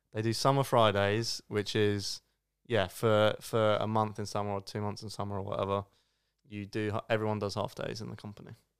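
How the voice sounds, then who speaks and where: Over a silent background in a very clean recording, a man talks at a moderate pace in a fairly low, monotone pitch with flat intonation and big swings in loudness. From Surrey, England. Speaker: podcast co-host. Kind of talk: casual chat.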